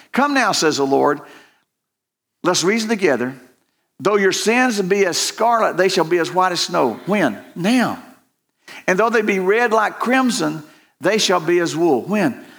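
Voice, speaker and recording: Audible room echo carries a man's high-pitched voice with lively intonation. He talks at a fairly slow pace with long, frequent pauses. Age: old. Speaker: pastor. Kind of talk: sermon. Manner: halting.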